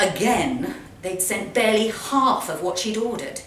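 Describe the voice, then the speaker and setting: Through noticeable background noise, a woman speaks with lively intonation. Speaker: actress. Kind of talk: live short story reading. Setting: live event in a pub.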